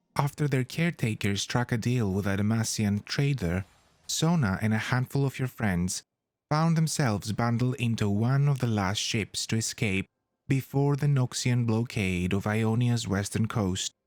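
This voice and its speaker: A soft-spoken man uses a gentle tone at a medium pitch and a moderate pace, his loudness very even. The recording is very clean with a silent background and a dry, close sound with no echo. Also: ordinary pitch variation. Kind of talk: soft-spoken ASMR-style lore reading. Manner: soft-spoken, gentle.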